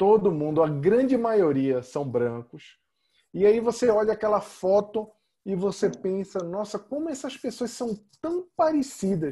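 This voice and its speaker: A man's high-pitched voice in a dark, mellow tone, fairly slow with very wide pitch swings, on a very clean recording with a silent background. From Brazil. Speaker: podcast host and author. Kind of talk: interview conversation.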